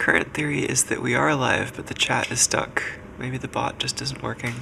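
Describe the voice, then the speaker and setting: Noticeable noise lies under the speech. The pace is moderate. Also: man. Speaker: programmer live-streaming electronics and reverse engineering. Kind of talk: casual live-stream coding talk.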